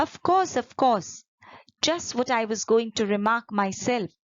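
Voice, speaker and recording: A female-sounding voice puts on a character, hoarse and fairly high in pitch. The delivery comes at a fairly slow pace. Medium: read story. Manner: sleepy.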